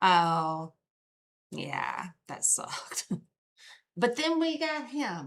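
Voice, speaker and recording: A woman with a Southern US accent on a very clean recording with a silent background. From US South. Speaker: true crime streamer. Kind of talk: casual live stream chat. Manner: casual, chatty.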